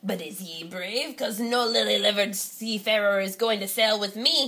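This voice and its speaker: A female-sounding put-on character voice speaks at a moderate pace with a medium pitch. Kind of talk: picture book read-aloud.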